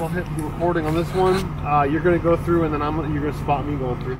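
A man rattles along at a very fast pace amid noticeable background noise. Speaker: overland vlogger. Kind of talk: casual vlog chat. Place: forest.

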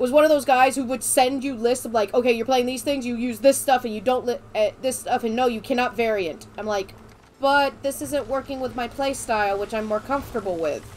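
A woman's high voice with an American accent and ordinary pitch variation. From Florida. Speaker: gaming streamer. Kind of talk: casual chat.

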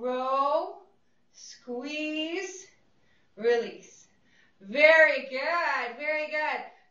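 A woman's high, raised and projected voice, bright and sharp with an upbeat tone and ordinary pitch variation, at a very slow pace with long, frequent pauses, in audible room echo. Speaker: fitness instructor. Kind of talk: guided group exercise class. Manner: encouraging, upbeat; brisk rhythmic cueing. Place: studio.

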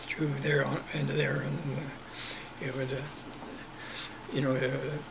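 A man speaks at a fairly high pitch. Noticeable background noise can be heard behind him. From Southern Alberta, Canada. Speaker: retired farmer recalling childhood. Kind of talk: oral history interview answer. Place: home room. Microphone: webcam.

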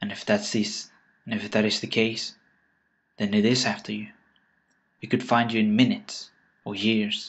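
Delivering in a dramatic tone with monotone, flat intonation, a man speaks with long, frequent pauses. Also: medium pitch for a man. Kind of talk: creepypasta horror narration, read aloud as a dark story. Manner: slow, ominous, hushed and deliberate; grim, warning tone with dramatic pauses.

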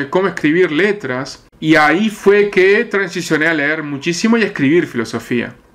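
Someone with a Uruguayan accent speaks at a moderate pace with lively intonation. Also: man. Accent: Uruguayan Rioplatense Spanish. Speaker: metal musician and founder of a band. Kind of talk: interview.

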